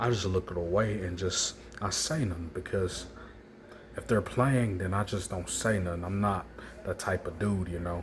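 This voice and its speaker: At a moderate pace, a man speaks in a very deep, low voice with ordinary pitch variation. His sound is somewhat breathy. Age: 20s. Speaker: vlogger. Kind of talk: personal monologue vlog.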